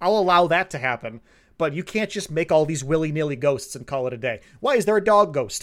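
Over a silent background in a very clean recording, the voice is a normal speaking voice, moving at a fairly quick pace with lively intonation. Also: man, fairly high pitch for a man. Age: 20s. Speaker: podcast co-host. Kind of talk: casual chat.

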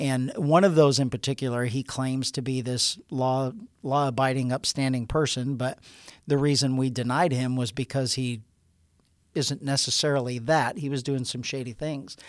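A man with a normal speaking voice and medium pitch talks at a moderate pace on a very clean recording with a silent background. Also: fairly even intonation. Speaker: sheriff hosting department podcast. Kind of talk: interview-style podcast conversation.

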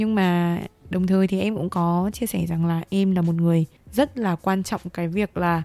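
The tone is dark and mellow, with ordinary pitch variation at a moderate pace. The recording is very clean, with a silent background. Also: woman. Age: 20s. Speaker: podcast co-host, university student. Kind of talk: casual chat.

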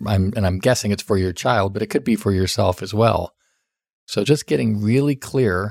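Recorded very cleanly against a silent background, an unremarkable speaking voice talks with ordinary pitch variation. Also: man. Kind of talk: solo podcast talk giving advice.

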